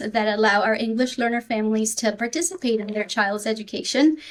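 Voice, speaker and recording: The speaker has a slight Spanish accent. The intonation stays fairly even. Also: woman. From Peru. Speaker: school district supervisor for English learners. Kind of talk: podcast interview.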